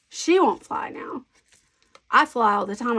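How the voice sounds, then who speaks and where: The speech moves at a moderate pace. It is delivered with an American accent. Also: woman. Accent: Southern US, toned down. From US South. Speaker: scrapbooking crafter. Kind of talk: casual crafting chat. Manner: chatty, thinking aloud.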